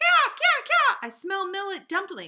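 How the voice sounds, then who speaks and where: Putting on a character voice, a woman speaks at an extremely high pitch and a fairly slow pace, with very wide pitch swings. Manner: chattering.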